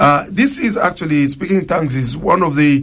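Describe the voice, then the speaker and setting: Somewhat breathy and at a fairly high pitch, a man with an African accent talks at a moderate pace with lively intonation. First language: Chiluba. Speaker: pastor. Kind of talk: radio Bible teaching and Q&A.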